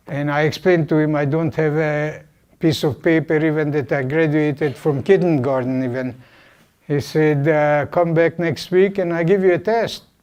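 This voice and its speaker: Against a quiet background, a man talks with a Hungarian accent at a moderate pace. His pitch is fairly high, with ordinary variation. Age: 80s+. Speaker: Holocaust survivor. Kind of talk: guest talk to university class. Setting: classroom.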